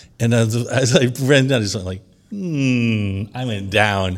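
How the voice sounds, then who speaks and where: The background is silent on this very clean recording. A man talks in a New York accent. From New York, Long Island. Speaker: DJ. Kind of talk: casual chat.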